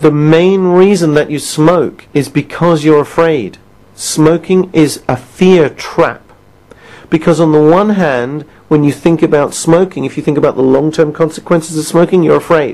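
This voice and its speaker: Moderate pace in a British accent. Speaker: quit-smoking coach. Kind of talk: recorded self-help session. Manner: conversational, asks listener questions.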